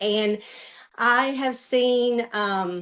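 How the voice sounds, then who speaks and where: A woman speaks with an American accent at a fairly high pitch. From US South, Western Kentucky. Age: 60s. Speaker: customer giving a testimonial. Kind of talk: testimony. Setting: video call.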